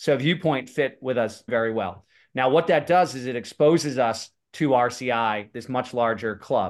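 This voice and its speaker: Over a quiet background, a man with an American accent uses a plain, everyday voice at a moderate pace, medium in pitch with ordinary pitch variation. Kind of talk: casual chat.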